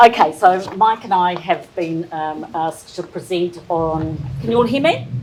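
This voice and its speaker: With a New Zealand accent, a woman speaks in a fairly low pitch and lively intonation over noticeable background noise. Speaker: presenter on horticulture and cropping. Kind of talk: presentation. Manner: hesitant. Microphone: too quiet for room acoustics.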